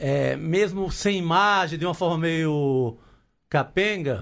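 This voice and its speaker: A man with ordinary pitch variation on a very clean recording with a silent background. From Cariri, Ceará, Brazil. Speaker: journalist and writer. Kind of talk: casual chat. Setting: studio.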